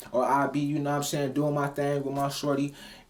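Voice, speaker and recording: A man speaks at a fairly high pitch for a man. Noticeable noise sits in the background. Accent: American. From Cleveland, Ohio. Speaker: rapper and motivational vlogger. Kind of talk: motivational talk. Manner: casual, animated.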